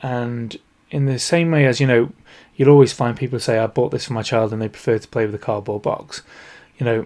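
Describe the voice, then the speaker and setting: A man's medium-pitched voice with a Northern English accent, very fast pace and fairly even intonation. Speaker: podcast host, toy industry consultant. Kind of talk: solo podcast talk.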